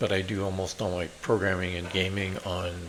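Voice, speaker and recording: Noticeable background noise runs under a man's very deep, low voice. He speaks at a fairly slow pace with fairly even intonation. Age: 60s. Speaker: programmer and tech YouTuber. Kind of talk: casual channel introduction. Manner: hesitant with frequent fillers.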